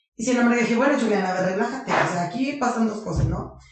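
A woman's voice with audible room echo. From Mexico, Colima. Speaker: magazine founder and businesswoman. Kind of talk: interview.

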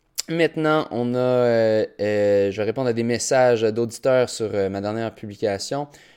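A man with a Quebec accent talks at a fairly slow pace, with hardly any pauses. His pitch is medium, with ordinary variation. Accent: Québécois French. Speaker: podcast host, primary school teacher and runner. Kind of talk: solo podcast monologue. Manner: halting, many fillers.

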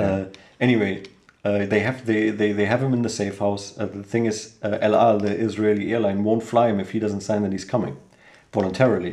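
In a German accent, a man talks at a fairly low pitch with monotone, flat intonation, and room echo is audible. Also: fairly quick pace. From Germany, Cologne. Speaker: host's brother. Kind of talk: casual discussion. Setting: home living room.

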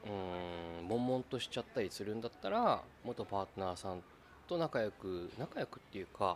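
At a moderate pace, a man with a fairly low pitch and ordinary pitch variation uses a plain, everyday voice, with big swings in loudness. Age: 30s. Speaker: podcast host. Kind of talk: casual chat.

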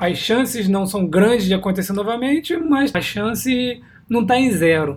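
A man speaks at a moderate pace with lively intonation. His voice is high for a man, and his loudness stays very even. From Brazil. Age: 30s. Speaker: podcast host, investment blogger. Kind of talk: solo monologue podcast. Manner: hesitant, many filler words.

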